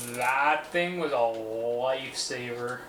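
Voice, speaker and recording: The recording of this man has noticeable background noise. An audible room echo is also present. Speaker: PC builder streamer. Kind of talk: live build stream chat. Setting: livestream. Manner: casual, hesitant.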